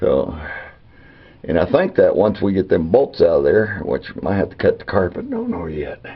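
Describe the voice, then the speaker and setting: This man talks at a moderate pace with an Arkansas accent. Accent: Southern US (Arkansas). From Arkansas, US South. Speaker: amateur car repair vlogger. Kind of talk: casual DIY tutorial chat. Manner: halting, many fillers.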